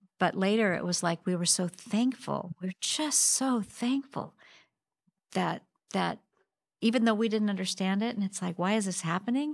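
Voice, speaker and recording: A woman with an American accent has an ordinary speaking voice, medium in pitch with ordinary pitch variation, at a moderate pace. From Spokane, Washington. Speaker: church member. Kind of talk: casual chat.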